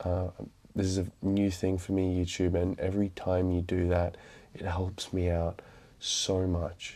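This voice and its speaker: A quiet man with an Australian accent, very deep and low in pitch, dark and mellow in tone, flat and monotone, at a fairly slow pace on a very clean recording with a silent background. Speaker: book vlogger. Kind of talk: casual vlog talk. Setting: indoors at night, mother in next room. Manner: quiet, keeping voice down at midnight.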